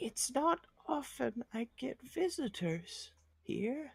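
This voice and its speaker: A put-on character voice, fairly high and very slow, with very wide pitch swings. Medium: actual play.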